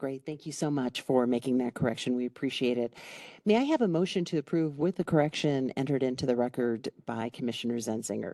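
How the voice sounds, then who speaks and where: In an American accent, a woman talks at a very fast pace with a very deep, low pitch, a dark, mellow tone and ordinary pitch variation. The sound is dry and close with no echo, over a quiet background. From Chicago. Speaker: county commissioner chairing meeting. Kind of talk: public meeting chairing. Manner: formal.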